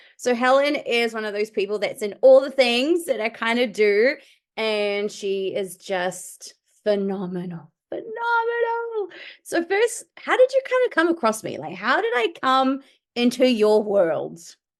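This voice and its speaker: This is a woman with a New Zealand accent. She speaks at a fairly slow pace. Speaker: podcast host and medium. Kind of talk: podcast interview. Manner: animated.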